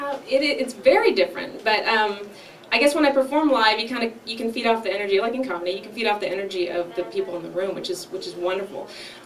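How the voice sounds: A woman talks at a fast pace with few pauses, her pitch medium, over faint background noise. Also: ordinary pitch variation.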